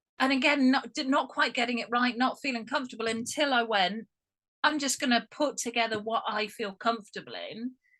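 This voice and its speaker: Loud and fairly quick, a woman speaks with an English accent in a high pitch and a bright, sharp tone. Her pitch varies in an ordinary way. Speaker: guest. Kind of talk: casual chat. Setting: video call.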